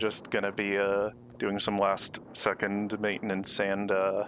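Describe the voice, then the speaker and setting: A quiet man's voice, fairly low and fairly slow, with monotone, flat intonation and very even loudness. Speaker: streamer. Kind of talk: casual live stream chat. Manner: quiet, low-key for now; hesitant, many fillers.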